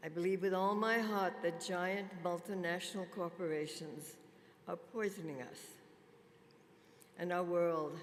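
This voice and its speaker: Pausing long and often at a fairly slow pace, a woman speaks at a fairly low pitch with fairly even intonation, amid audible room echo and noticeable background noise. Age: 90s. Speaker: spa industry pioneer. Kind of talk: conference keynote speech. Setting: stage with audience.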